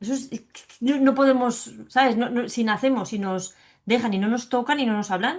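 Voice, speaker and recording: Speaking at a moderate pace, a woman with a high pitch sounds animated, with ordinary pitch variation and big swings in loudness. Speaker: psychologist and biodecoding specialist sharing her fibromyalgia testimony. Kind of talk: interview.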